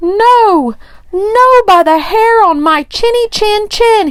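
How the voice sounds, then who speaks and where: A woman puts on a character voice at an extremely high pitch. She talks at a very slow pace. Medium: read story.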